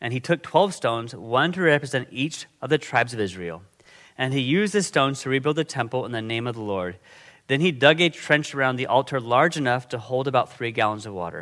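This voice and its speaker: This man has a bright, sharp tone, a medium pitch and lively intonation at a fairly quick pace. The recording is very clean, with a silent background. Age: 50s. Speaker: guest preacher. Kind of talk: sermon. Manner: casual.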